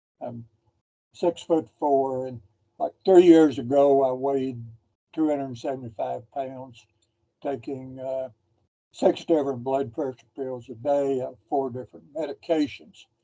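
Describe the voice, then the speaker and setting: A man with a dark, mellow tone speaks at a fairly slow pace with long, frequent pauses. His intonation is fairly even, and his loudness swings widely. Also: medium pitch for a man. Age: 80s+. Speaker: dialysis patient. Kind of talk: question to presenter.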